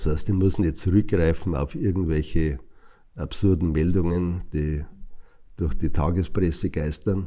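A man speaks in a very deep, low pitch with a dark, mellow tone. His pace is fairly slow and his intonation fairly even. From Passau, Lower Bavaria. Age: 60s. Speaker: artist and cabaret performer. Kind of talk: interview. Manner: hesitant with fillers.

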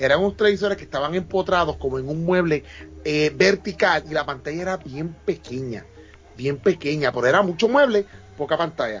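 Over music in the background, a man's words come at a very fast pace. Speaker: podcast guest. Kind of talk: casual chat.

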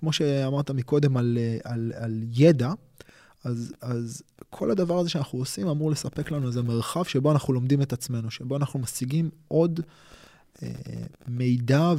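Dark and mellow in tone, a man speaks at medium pitch and a moderate pace with ordinary pitch variation. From Israel, Tel Aviv and Holon. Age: 40s. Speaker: martial arts instructor. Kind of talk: casual interview conversation. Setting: studio at his martial arts school.

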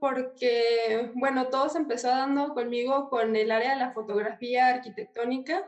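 A fairly slow pace in a Mexican accent, with ordinary pitch variation. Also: woman. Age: 20s. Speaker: architecture student and YouTuber. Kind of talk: casual interview.

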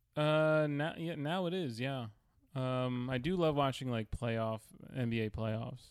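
Speaking in a plain, everyday voice, a man uses a medium pitch with ordinary pitch variation. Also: fairly slow pace. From New York, Queens. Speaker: comedian. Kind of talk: casual chat.

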